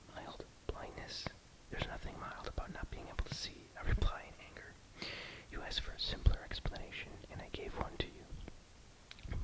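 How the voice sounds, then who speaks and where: A whisper at a moderate pace, with big swings in loudness and noticeable background noise. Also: man. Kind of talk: short story reading. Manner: whispered.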